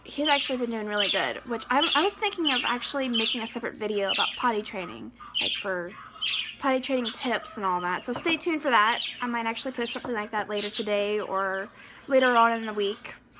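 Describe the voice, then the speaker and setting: The speech moves at a very fast pace with ordinary pitch variation against noticeable background noise. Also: woman, fairly high pitch for a woman. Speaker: pregnancy vlogger, mother. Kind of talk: casual vlog monologue. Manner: halting, stuttering.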